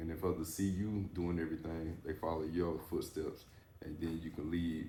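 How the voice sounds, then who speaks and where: Very deep and low, a man's somewhat breathy voice moves at a fairly quick pace in a flat monotone, with audible room echo. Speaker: podcast host, former athlete. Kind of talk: casual interview chat. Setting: barber shop.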